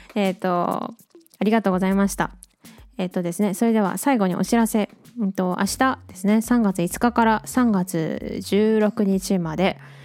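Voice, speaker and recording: A woman speaks at a moderate pace in a medium pitch, with music playing in the background. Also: fairly even intonation. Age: 20s. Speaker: illustrator and track maker, podcast host. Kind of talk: casual solo radio talk. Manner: casual, chatty.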